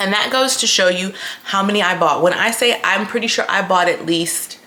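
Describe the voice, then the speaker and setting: Medium-pitched female speech with ordinary pitch variation at a moderate pace, with noticeable background noise. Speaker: lifestyle vlogger. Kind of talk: casual vlog chat. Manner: chatty with many fillers.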